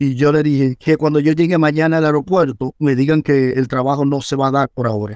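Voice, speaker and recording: With a plain, everyday voice, a man with a fairly high pitch speaks with hardly any pauses, fairly even intonation and very even loudness, in a dry, close sound with no echo. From Dominican Republic, Villa Duarte (Santo Domingo Este). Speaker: first-aid rescuer and instructor. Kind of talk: interview testimony.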